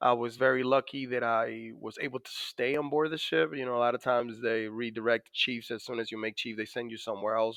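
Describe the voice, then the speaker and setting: Someone with a Dominican accent talks at a fairly quick pace. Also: man. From Dominican Republic. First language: Spanish. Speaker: navy master chief, PTSD survivor. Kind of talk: podcast interview. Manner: many fillers and hesitations.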